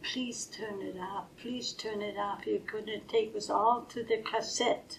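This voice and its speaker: At a fairly slow pace, a woman with a German accent speaks in a fairly high pitch with monotone, flat intonation. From Germany. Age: 80s+. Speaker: retired nurse. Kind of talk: interview answer.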